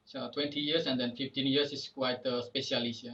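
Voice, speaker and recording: A man with an Indonesian accent speaks in a bright, sharp tone. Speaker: podcast host, volcano tour guide. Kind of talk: casual interview. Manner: halting.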